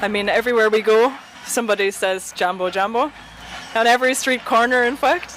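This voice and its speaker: Ordinary pitch variation in an Irish accent, with noticeable background noise. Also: woman. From Ireland. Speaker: traveler interviewed as guest. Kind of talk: interview.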